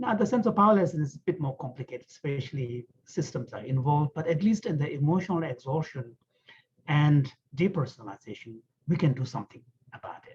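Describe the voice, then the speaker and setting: At a very fast pace, a man talks in a somewhat breathy voice, fairly high in pitch, with lively intonation and big swings in loudness. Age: 60s. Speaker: author and Buddhist scholar. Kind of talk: online panel discussion.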